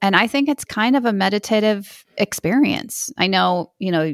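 A woman with a plain, everyday voice speaks at medium pitch and a moderate pace, with lively intonation. The recording is very clean with a silent background and a dry, close sound with no echo. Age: 40s. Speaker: podcaster and amateur actor. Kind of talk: casual interview chat.

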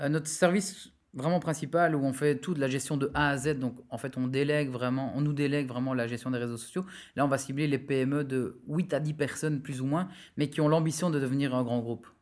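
A man at a fairly quick pace with a fairly high pitch and fairly even intonation, in a very clean recording with a silent background. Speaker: digital marketing entrepreneur. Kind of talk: interview conversation.

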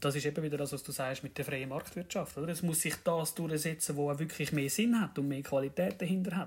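Someone talks with a Zurich accent at a fairly quick pace. The intonation stays fairly even on a very clean recording with a silent background. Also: man. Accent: Swiss German (Zurich). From Switzerland, canton of Zurich. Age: 30s. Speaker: train driver, podcast guest. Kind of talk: casual chat.

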